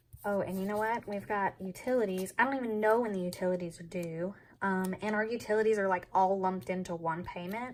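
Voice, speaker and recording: A woman with a Southern US accent, medium pitch, fairly even intonation, and a fairly quick pace with hardly any pauses. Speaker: planner vlogger. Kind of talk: tutorial. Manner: casual.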